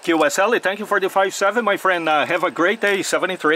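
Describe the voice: Fast delivery in a bright, sharp tone, with ordinary pitch variation. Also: man, high pitch for a man.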